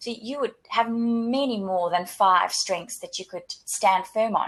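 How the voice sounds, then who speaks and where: With a South African accent, a woman speaks fairly slowly, her pitch varying in an ordinary way. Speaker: career coach / webinar co-host. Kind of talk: webinar presentation. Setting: online webinar. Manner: repetitive restarts, stammering on words.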